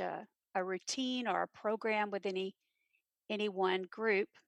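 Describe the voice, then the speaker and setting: A woman with a Texan accent speaks at a medium pitch and a fairly slow pace in monotone, flat intonation, in a very clean recording with a silent background and a dry, close sound with no echo. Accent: Texan American. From Texas, Granbury. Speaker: theater teacher. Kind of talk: interview.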